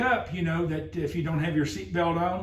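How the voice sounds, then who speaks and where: A loud man's voice, high in pitch, with audible room echo and noticeable background noise. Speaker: driver safety trainer. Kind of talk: workplace safety meeting presentation. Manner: halting, many fillers; talking loud.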